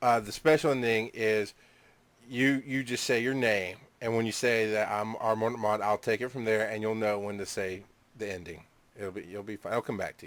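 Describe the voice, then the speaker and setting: This man speaks with a Southern US accent at a medium pitch. His pace is moderate and his intonation fairly even. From Georgia, US South. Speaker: internet radio co-host. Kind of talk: casual banter.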